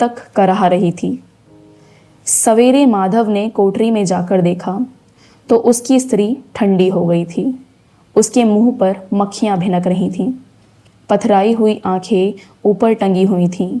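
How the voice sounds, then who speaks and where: A woman's voice with fairly even intonation and long, frequent pauses, music in the background. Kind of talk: audiobook narration of a classic short story.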